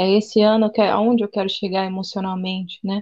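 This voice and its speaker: The sound is dry and close, with no echo. A woman speaks at a moderate pace and a medium pitch. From interior of São Paulo state, Brazil. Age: 20s. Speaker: psychoanalyst and missionary. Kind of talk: casual chat.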